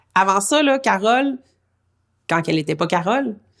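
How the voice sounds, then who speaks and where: A woman is speaking. Her intonation is lively. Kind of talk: interview answer.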